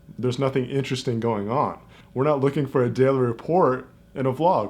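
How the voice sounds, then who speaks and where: Against a quiet background, a man talks at a very fast pace and a medium pitch, with fairly even intonation. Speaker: vlogger. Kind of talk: casual vlog talk to camera. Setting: quiet home corner, self-filmed. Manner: unscripted, rambling delivery.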